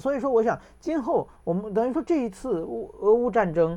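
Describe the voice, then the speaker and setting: Speaking fairly quickly, a man has a dark, mellow tone. His pitch swings very widely. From China, then Japan. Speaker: journalist and political commentator. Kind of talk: casual interview chat.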